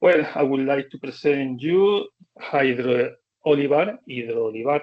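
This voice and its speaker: A fairly high-pitched man with a Spanish accent at a fairly slow pace. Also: ordinary pitch variation. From Spain. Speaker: professor. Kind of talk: presentation. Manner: halting.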